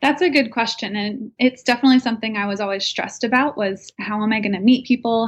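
A somewhat breathy woman talks at a fairly quick pace with an American accent. Her intonation stays fairly even, and the background is quiet. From New Jersey. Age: 20s. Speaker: young professional sharing moving tips. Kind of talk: casual interview.

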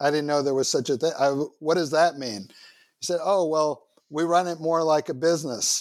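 A man with an American accent speaks in an ordinary speaking voice, fairly high in pitch with fairly even intonation and hardly any pauses. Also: moderate pace. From New York City (Manhattan, Queens). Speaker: university system founder and president. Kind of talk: interview.

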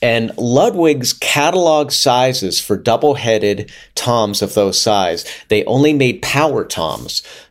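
A man with an unremarkable speaking voice talks at medium pitch with lively intonation. His loudness stays very even at a fairly slow pace. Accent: American. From US, Pittsburgh. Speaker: music professor and drummer. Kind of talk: casual interview chat.

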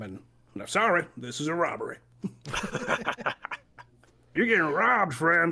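A put-on character voice sits at a middle pitch and moves at a moderate pace. Long pauses come often. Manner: gruff, robbing.

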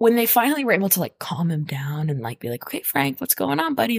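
Somewhat breathy, a woman speaks in an animated, playful tone with very wide pitch swings. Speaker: podcast host. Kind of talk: casual chat. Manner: animated, playful, profane.

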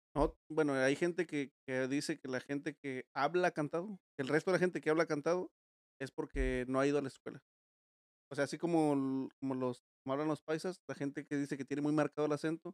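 Fairly quick pace from a man at fairly high pitch, fairly even intonation, dry, close sound with no echo. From Mexico, Guerrero. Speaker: podcast host. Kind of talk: casual chat. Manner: fast.

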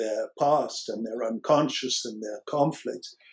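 A man talks in an American accent. His voice is fairly high in pitch. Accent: American, noticeable to British listeners. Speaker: psychoanalyst and author, former rock musician. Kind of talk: academic interview discussion.

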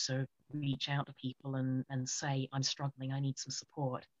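A woman speaks in a British accent with a very deep, low pitch. Her intonation is monotone and flat, and her pace is moderate. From UK. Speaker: author and poet. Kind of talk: interview. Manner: halting, many fillers.

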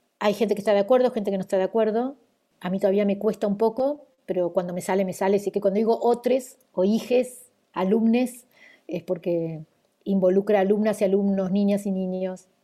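A woman with an Argentine accent speaks at a fairly quick pace. Her tone is dark and mellow, her intonation fairly even. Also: medium pitch for a woman. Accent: Argentine Spanish (voseo). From Argentina. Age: 60s. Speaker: educator. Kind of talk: interview conversation. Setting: video call.

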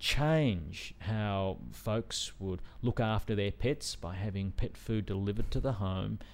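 A man with an Australian accent and a fairly low pitch speaks very slowly with ordinary pitch variation in a very clean recording with a silent background. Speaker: venture investor and entrepreneur. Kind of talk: interview. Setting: studio.

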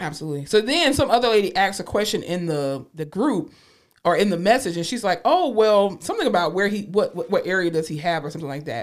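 The speech comes at a very fast pace in a Southern US accent. The tone is animated. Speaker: podcast co-host. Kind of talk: casual chat.

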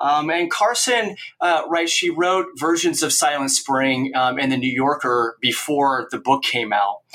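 A man speaks at a fairly slow pace with hardly any pauses. His pitch is fairly high and his intonation lively. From Oregon, US Northwest. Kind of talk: interview. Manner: hesitant with frequent fillers.

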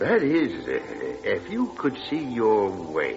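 Over faint background music, a man in a put-on character voice speaks slowly at a fairly low pitch, his pitch swinging very widely.

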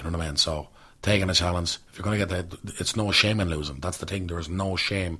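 With a bright, sharp tone, a man talks very fast at a very deep, low pitch and fairly even intonation. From Dublin, Ireland (Coolock). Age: 20s. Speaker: actor. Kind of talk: casual chat.

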